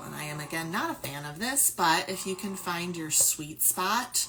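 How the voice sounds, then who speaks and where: At a very slow pace and with ordinary pitch variation, the voice comes through noticeable background noise. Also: woman. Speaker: lactation consultant and speech pathologist. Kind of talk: product review tutorial. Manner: loud.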